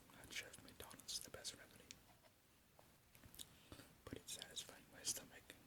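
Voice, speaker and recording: The speaker is whispering. Long pauses come often. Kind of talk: ASMR eating video talk to camera.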